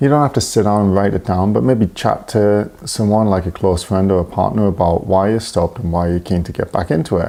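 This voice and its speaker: A quiet man's voice, fairly low in pitch, at a moderate pace over noticeable background noise. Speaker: running coach. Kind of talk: casual solo podcast talk. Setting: home, early morning. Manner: talking quietly; hesitant, many fillers.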